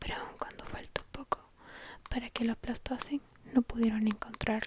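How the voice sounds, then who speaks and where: Background noise is clearly present. Through it, a woman whispers at a moderate speed. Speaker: ASMR creator. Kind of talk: whispered bedtime story reading.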